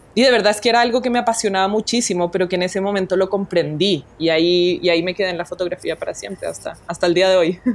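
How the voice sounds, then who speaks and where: Talking very fast, a woman with a Colombian accent uses ordinary pitch variation. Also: medium pitch for a woman, hardly any pauses. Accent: Latin American (Colombian). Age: young. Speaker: documentary photographer. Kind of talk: interview. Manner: animated.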